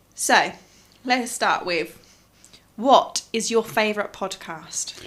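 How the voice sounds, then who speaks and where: A woman's fairly high voice with very wide pitch swings, at a very slow pace, against noticeable background noise. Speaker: podcast co-host. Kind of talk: casual chat.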